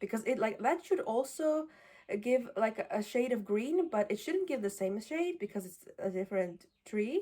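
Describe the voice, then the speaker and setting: A woman with a non-native accent, a fairly high pitch, a dark, mellow tone, very wide pitch swings and a moderate pace. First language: not English. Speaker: fiber arts vlogger. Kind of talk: casual vlog talk. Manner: halting, many fillers.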